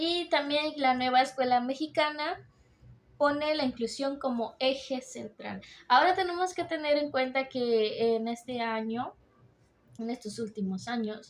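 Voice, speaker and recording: A woman talks at a fairly slow pace in a high pitch with ordinary pitch variation, on a very clean recording with a silent background. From Mexico. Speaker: university student. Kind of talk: class presentation. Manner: hesitant with fillers.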